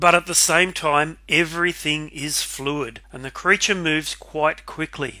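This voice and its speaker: In an Australian accent, a man speaks fairly slowly with a fairly high pitch and a bright, sharp tone. The recording is very clean, with a silent background. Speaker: artist and video narrator. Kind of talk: narrated video analysis.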